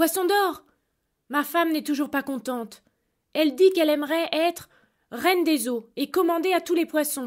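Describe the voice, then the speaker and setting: On a very clean recording with a silent background, a woman uses a put-on character voice pitched high, speaking at a moderate pace with long, frequent pauses. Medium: read story. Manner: meek, humble.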